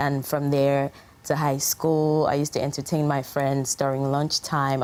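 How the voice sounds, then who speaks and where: A woman with a Yoruba accent speaks at a moderate pace in a very deep, low voice with monotone, flat intonation. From Nigeria. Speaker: singer. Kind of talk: interview. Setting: studio. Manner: hesitant with many fillers.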